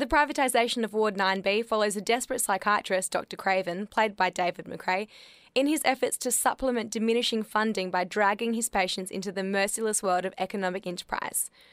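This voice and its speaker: Speaking very fast with an Australian accent and hardly any pauses, a woman keeps a medium pitch and ordinary pitch variation on a very clean recording with a silent background and a dry, close sound with no echo. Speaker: theatre reviewer. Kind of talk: scripted narration.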